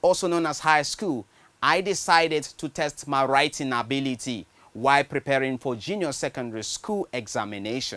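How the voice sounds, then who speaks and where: With very wide pitch swings, a man speaks in a Nigerian accent at a moderate pace. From Nigeria, Benue State. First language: Nigerian language (not English). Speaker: screenwriter. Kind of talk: personal story narration.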